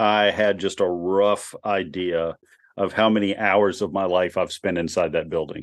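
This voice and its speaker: A man with an unremarkable speaking voice talks at a fairly slow pace. His pitch is fairly low, and the background is quiet. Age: 40s. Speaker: sports podcast co-host. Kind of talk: casual sports chat.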